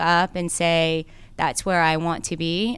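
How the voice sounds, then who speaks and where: Speaking at a fairly slow pace, a woman has a bright, sharp tone on a very clean recording with a silent background. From South Korea, then Cobb County, Georgia. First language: Korean. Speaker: lawyer and political candidate. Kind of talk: radio interview. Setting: studio.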